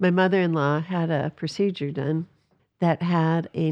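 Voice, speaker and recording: Against a quiet background, a woman speaks at a moderate pace in a flat monotone with a fairly low pitch, the sound dry and close with no echo. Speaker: pastor. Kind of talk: casual religious discussion.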